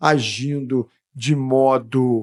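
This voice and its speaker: The audio is dry and close, free of echo. A man does the talking. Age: 60s. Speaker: freemason guest explaining freemasonry. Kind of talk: podcast interview. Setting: podcast studio. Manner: casual, repetitive conversational.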